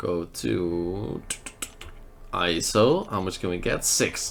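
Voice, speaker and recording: A man speaks with a Dutch accent. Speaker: mobile game YouTuber. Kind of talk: gameplay commentary.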